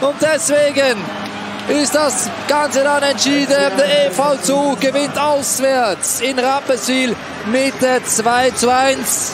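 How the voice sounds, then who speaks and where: Over noticeable background noise, a man speaks very slowly at an extremely high pitch with fairly even intonation. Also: very even loudness. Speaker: ice hockey commentator. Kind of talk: live sports commentary on ice hockey highlights.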